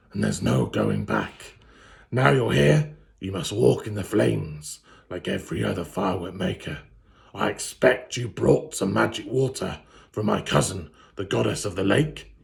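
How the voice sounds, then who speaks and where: In a put-on character voice, a man booms at a very deep, low pitch, raspy and with very wide pitch swings. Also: moderate pace. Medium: read story. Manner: scornful, imperious.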